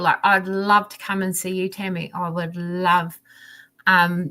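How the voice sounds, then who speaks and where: A woman's medium-pitched, bright, sharp voice with a southern New Zealand accent, at a fairly slow pace. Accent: southern New Zealand, rolled R's. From New Zealand, South Island (Dunedin area). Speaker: diamond painting crafter. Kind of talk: casual chat. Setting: live stream video call. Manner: animated.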